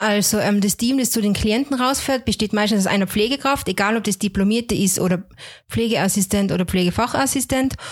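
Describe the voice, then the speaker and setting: A woman's fairly high, somewhat breathy voice at a fairly quick pace, with ordinary pitch variation and very even loudness, on a very clean recording with a silent background. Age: 30s. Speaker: home care nurse. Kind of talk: interview.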